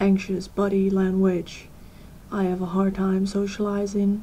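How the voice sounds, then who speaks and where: Speaking at a fairly slow pace, a woman has a medium pitch, a dark, mellow tone, a somewhat breathy quality and monotone, flat intonation. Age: 20s. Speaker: vlogger. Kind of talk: personal vlog. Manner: hesitant.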